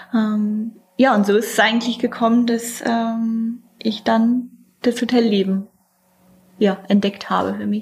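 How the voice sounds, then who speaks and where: A woman at a fairly high pitch, somewhat breathy, with monotone, flat intonation, a very slow pace and long, frequent pauses. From northeastern Germany, Mecklenburg Lake District. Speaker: hotel director. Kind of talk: interview monologue.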